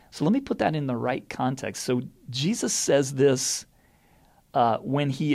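This man has a plain, everyday voice at a medium pitch, speaking at a fairly slow pace. The recording is very clean, with a silent background. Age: 50s. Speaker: head of school. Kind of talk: solo podcast reflection. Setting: office.

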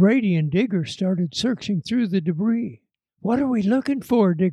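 The background is quiet. Over it comes a natural reading voice.

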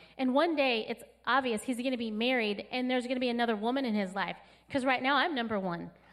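Speaking at a very fast pace, a woman with an American accent has a high pitch, an animated tone, and ordinary pitch variation. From California. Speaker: pastor. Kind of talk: sermon. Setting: church. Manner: animated, joyful.

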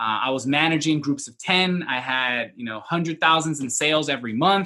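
This man talks with an American accent and a fairly high pitch. His tone is bright and sharp. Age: 20s. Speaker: entrepreneur. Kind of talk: interview.

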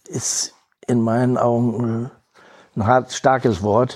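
A man's medium-pitched voice, very slow and monotone, with flat intonation. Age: 70s. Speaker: volunteer, retiree. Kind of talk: interview.

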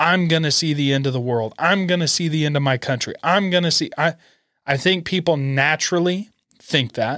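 A man with an American accent speaks in a fairly high pitch with a bright, sharp, animated tone. His pace is moderate, with ordinary pitch variation and very even loudness. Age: 20s. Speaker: podcast host. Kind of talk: casual solo commentary.

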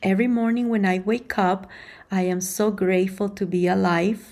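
At a moderate pace, a woman speaks in a somewhat breathy, dark, mellow voice on a very clean recording with a silent background. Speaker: podcast host. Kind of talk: casual chat.

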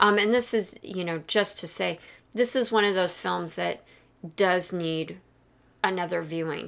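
A woman with a fairly low pitch and an unremarkable speaking voice talks at a moderate pace with ordinary pitch variation. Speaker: podcast co-host and pop culture scholar. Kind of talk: casual discussion of a film.

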